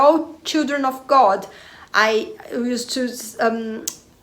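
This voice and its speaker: Against noticeable background noise, a woman with a non-native accent talks in a high pitch with ordinary pitch variation. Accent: Portuguese-speaker accent in English. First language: Portuguese. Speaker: spiritual/personal development video creator. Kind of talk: casual monologue to camera. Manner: hesitant, many fillers.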